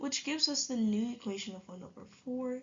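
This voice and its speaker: With ordinary pitch variation and a moderate pace, a woman talks in a somewhat breathy voice. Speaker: math tutor. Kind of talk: tutorial. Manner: casual.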